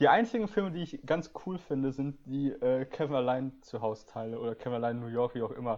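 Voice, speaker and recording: With a normal speaking voice against a quiet background, a man of medium pitch talks at a fairly quick pace with lively intonation. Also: hardly any pauses. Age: 20s. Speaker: podcast host. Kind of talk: casual chat.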